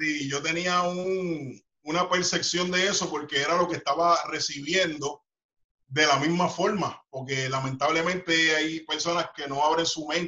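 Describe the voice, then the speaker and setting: With an ordinary speaking voice, a man speaks at a fairly slow pace and fairly high pitch with fairly even intonation. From Puerto Rico, Carolina. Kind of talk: interview. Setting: video call.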